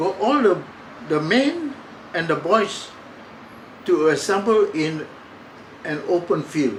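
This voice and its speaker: A man speaks very slowly with lively intonation. Noticeable background noise and audible room echo fill the recording. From Singapore. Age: 90s. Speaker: war survivor. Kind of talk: testimony. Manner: halting.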